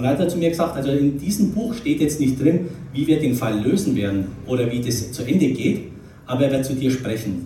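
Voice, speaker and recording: A man talks fairly quickly in a fairly high voice, with lively intonation and a slight Franconian accent. Noticeable background noise and audible room echo are present. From Nuremberg, Franconia, Germany. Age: 50s. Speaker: retired investment banker giving a life-story talk. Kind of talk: testimony talk.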